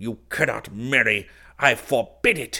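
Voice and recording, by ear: Shouting in a put-on character voice, a man keeps a medium pitch with ordinary pitch variation and a bright, sharp tone at a fairly slow pace.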